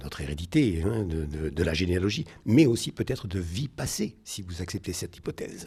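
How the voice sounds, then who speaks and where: A man with a very deep, low pitch and a dark, mellow tone, somewhat breathy, with a Marseille accent and lively intonation, in a very clean recording with a silent background. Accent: Marseille accent, kept. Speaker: naturopath and energy therapist. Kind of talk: radio interview. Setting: at his home.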